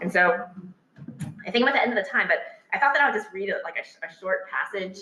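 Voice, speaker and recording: This woman speaks with a Texas accent. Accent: American English, Texas. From Texas, Houston. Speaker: political scientist, author. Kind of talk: public talk with audience discussion. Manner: fast; hesitant, many fillers and repetitions.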